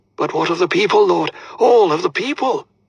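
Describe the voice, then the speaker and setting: Delivered at a fairly quick pace, the put-on character voice has a dry, close sound with no echo. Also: man, extremely high pitch for a man. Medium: read story. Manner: hesitant, deferential.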